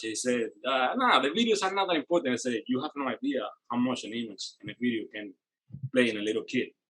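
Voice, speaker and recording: A man speaks with a Spanish accent at a fairly quick pace. His pitch is medium, with ordinary variation. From Cuba. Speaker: rock guitarist. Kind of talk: casual chat.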